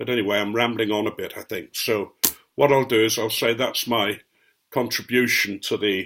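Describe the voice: Fairly even intonation in plain reading aloud, the background quiet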